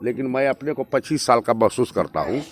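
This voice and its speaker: An ordinary speaking voice: a man at a medium pitch with ordinary pitch variation, captured dry and close with no echo. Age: 60s. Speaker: politician. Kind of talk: campaign interview. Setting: outdoors at night.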